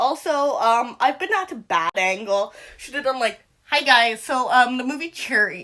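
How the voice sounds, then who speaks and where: A woman's raised, projected voice at a fairly slow pace, with very wide pitch swings. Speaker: movie reviewer. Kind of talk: casual video review. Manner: hesitant, many fillers.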